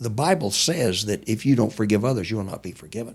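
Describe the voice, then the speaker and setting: The speaker is a man with a somewhat breathy voice. He talks at a very fast pace. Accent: American. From US army bases, Texas family. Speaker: war veteran. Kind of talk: interview testimony.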